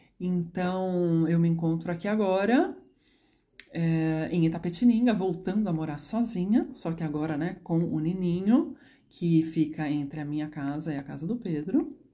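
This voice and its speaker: This woman has a dark, mellow tone and a fairly low pitch. She talks at a fairly slow pace. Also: ordinary pitch variation. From Brazil, São Paulo. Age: 30s. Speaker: psychologist and dance therapist. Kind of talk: personal storytelling monologue. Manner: spontaneous, unscripted.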